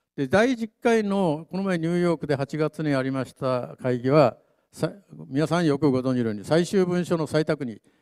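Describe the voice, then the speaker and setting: A man with an ordinary speaking voice, fairly high pitch, lively intonation, big swings in loudness, moderate pace and a quiet background. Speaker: panelist, doctor and atomic bomb survivor advocate; presenter. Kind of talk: panel talk. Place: hall.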